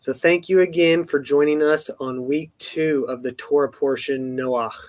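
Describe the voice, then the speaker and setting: This man has an American accent and a fairly high pitch. He talks at a fairly slow pace with ordinary pitch variation. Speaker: ministry co-host. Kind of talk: casual closing remarks.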